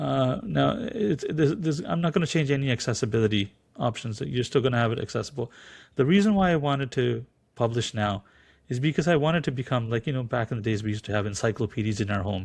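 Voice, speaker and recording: Against a quiet background, a man talks at a very fast pace with medium pitch. His voice is somewhat breathy, with lively intonation. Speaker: translator and audiobook narrator. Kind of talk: podcast interview. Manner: halting, many repetitions.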